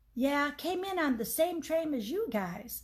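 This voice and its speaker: High-pitched woman in a put-on character voice, moderate pace, very wide pitch swings. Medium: read story. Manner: open, chatty, eager.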